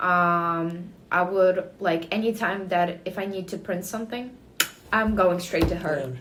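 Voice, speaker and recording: Speaking fairly slowly with a slight Ukrainian accent, a woman keeps a fairly even intonation amid audible room echo and noticeable background noise. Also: medium pitch for a woman. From Ukraine. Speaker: student, interviewee. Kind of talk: interview. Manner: halting, many fillers.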